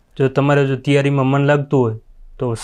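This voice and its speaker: Against a quiet background, a man with a fairly high voice speaks with a monotone, flat intonation. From rural Gujarat, Kutch and Patan area. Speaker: police constable recruit. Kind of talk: interview.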